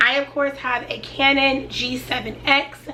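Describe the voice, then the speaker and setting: A woman's raised, projected voice at a high pitch, with noticeable background noise. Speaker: YouTuber. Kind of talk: casual sit-down tutorial.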